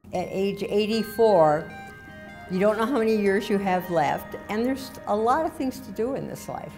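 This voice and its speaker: Music plays in the background. The speaker talks at a moderate pace with lively intonation. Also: woman, medium pitch for a woman. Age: 80s+. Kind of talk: interview answer.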